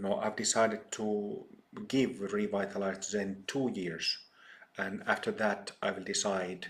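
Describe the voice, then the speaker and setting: Speaking with a Finnish accent, a man talks at a fairly slow pace. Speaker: Buddhist teacher. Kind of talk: dharma talk. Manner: halting, many fillers.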